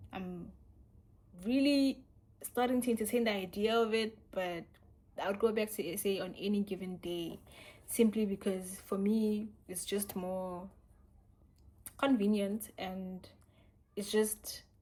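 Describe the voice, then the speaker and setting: Speaking fairly slowly with long, frequent pauses, a woman with a South African accent uses medium pitch, ordinary pitch variation, and big swings in loudness. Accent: South African, little changed. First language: Sotho. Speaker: YouTuber. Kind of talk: casual Q&A vlog.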